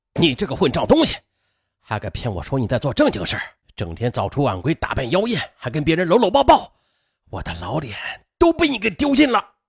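In a put-on character voice with a husky, rough edge and vocal fry, the speaker goes at a fairly quick pace with very wide pitch swings, on a very clean recording with a silent background.

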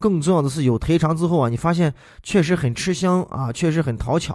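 In a very clean recording with a silent background, a man with a Shaanxi accent talks at a fairly quick pace and a fairly high pitch, his tone animated and his intonation lively. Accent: Shaanxi-accented Mandarin. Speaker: podcast host and voice dubber. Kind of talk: casual monologue.

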